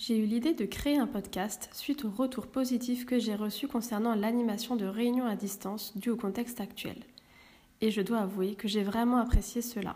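The woman's voice is fairly high in pitch, with a dark, mellow tone. She sounds somewhat breathy, and her intonation is fairly even. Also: moderate pace. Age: 30s. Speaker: podcast host. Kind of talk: scripted introduction. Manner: formal.

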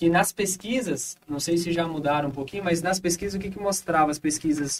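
A man speaks in a plain, everyday voice at a moderate pace. His pitch is fairly high, with ordinary pitch variation. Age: 30s. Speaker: pastor. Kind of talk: casual chat.

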